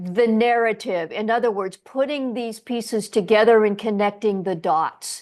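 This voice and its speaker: A woman speaks in an ordinary speaking voice at a fairly high pitch, with ordinary pitch variation. The background is quiet. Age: 60s. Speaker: podcast host. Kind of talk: interview.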